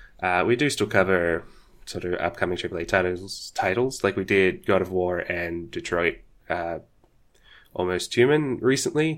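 In a very clean recording with a silent background, a man talks with an Australian accent. His very deep, low voice moves at a moderate pace. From Australia, Sydney. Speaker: podcaster and streamer. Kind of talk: casual chat.

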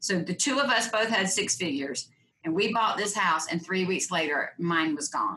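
With lively intonation, a normal speaking voice moves along at a moderate pace. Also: woman, medium pitch for a woman. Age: 50s. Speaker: profitability coach. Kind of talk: interview.

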